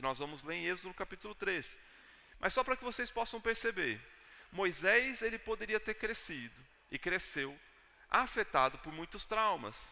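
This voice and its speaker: A man with a Brazilian accent projects a raised, high-pitched voice with very wide pitch swings. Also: moderate pace. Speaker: pastor. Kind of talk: sermon. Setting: church.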